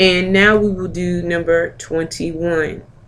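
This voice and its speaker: A woman talks at a fairly slow pace and medium pitch. There is audible room echo. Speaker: medical coding instructor. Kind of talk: lecture.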